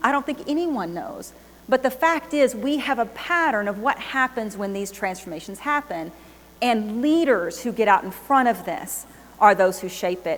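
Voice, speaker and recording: Over noticeable background noise, a woman with a Texan accent talks at a moderate pace, her fairly high voice carrying lively intonation. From Texas. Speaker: business executive. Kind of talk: keynote speech. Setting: stage with audience.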